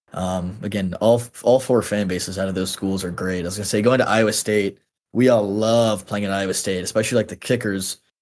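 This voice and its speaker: At a fairly quick pace, a man with an American accent speaks in a normal speaking voice, fairly low in pitch, with fairly even intonation. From Texas, then North Carolina. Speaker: former college football kicker. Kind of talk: casual chat. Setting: video call.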